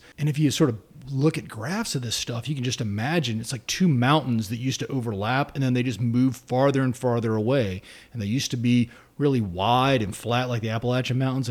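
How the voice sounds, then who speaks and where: On a very clean recording with a silent background, a man speaks in a plain, everyday voice at medium pitch with ordinary pitch variation. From South Carolina. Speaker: political science professor. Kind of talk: interview.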